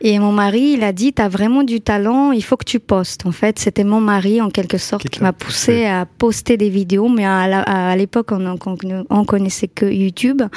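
In an unremarkable speaking voice, a woman talks fairly slowly at medium pitch with ordinary pitch variation and hardly any pauses. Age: 30s. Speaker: social media influencer and night-shift care assistant. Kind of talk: casual interview chat.

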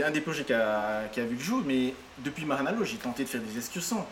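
Over noticeable background noise, a man with a fairly high pitch talks fairly quickly and with lively intonation. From French Polynesia, Tahiti peninsula. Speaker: hostel owner and entrepreneur. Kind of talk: interview. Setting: at his hostel. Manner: halting, many repetitions.

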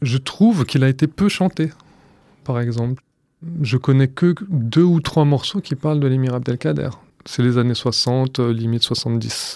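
On a very clean recording with a silent background, a man with an ordinary speaking voice speaks at a fairly slow pace, medium in pitch, with ordinary pitch variation. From France. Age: 30s. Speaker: archive researcher. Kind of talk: documentary interview.

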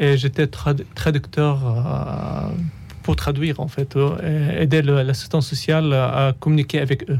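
With an Arabic accent, a man speaks at a very slow pace. His pitch is fairly high with ordinary variation. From Syria. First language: Arabic (speaking French). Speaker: refugee author. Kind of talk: radio interview. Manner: halting.

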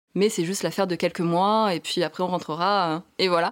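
In a very clean recording with a silent background, a woman with an ordinary speaking voice talks at a fairly quick pace, her pitch medium and her intonation fairly even. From southern France. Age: 30s. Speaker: architect turned van traveller and author. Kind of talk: interview.

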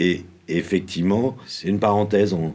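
A man speaks in a very deep, low voice on a very clean recording with a silent background. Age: 50s. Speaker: professional drummer and drum teacher. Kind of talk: casual interview. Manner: halting, with frequent repetitions.

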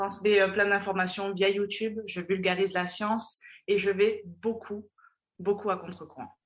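Fairly slow delivery comes in a flat monotone. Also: woman, medium pitch for a woman. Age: 20s. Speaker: fitness and mental coach. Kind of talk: interview.

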